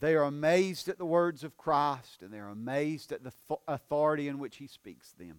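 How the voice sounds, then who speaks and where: With a Southern US accent, a man speaks in a fairly high pitch with lively intonation, big swings in loudness and hardly any pauses, in a dry, close sound with no echo. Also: fairly quick pace. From US South. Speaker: pastor. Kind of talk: sermon. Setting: church.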